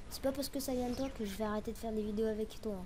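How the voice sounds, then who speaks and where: Audible room echo surrounds a woman who speaks very fast at a fairly high pitch. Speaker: gaming youtuber. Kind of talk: gameplay commentary.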